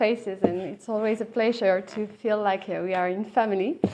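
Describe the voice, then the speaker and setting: A woman speaks with a French accent. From France. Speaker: lawyer and animal law academic. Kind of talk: conference talk.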